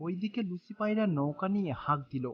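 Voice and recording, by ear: This woman has a fairly low voice with a slightly husky edge. Her intonation is lively.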